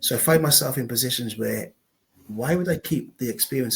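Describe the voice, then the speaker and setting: A man with a South Wales accent speaks at a moderate pace with ordinary pitch variation. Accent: Welsh (south Wales). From Wales, Newport. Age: 50s. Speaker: local councillor and former footballer. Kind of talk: interview.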